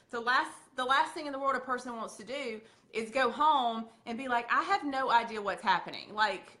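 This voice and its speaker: A woman with a Southern accent talks at a fairly quick pace in a high, bright, sharp tone. Her voice is raised and projected, and her delivery is animated. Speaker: makeup sales leader. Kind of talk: training talk.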